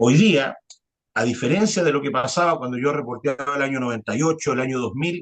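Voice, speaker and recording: Here a man talks at a fairly quick pace. His pitch is fairly high, with ordinary variation. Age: 40s. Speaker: journalist. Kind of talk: interview conversation. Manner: hesitant, many fillers.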